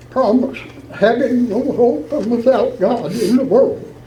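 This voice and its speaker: Noticeable background noise sits behind a man with an extremely high pitch. He talks at a very slow pace with ordinary pitch variation. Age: 80s+; old. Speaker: Old Regular Baptist church elder. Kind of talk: church letter reading with scripture.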